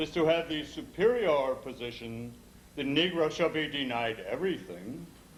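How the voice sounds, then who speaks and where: With lively intonation, a man speaks at a fairly slow pace over noticeable background noise. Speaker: poet. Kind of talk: poetry reading.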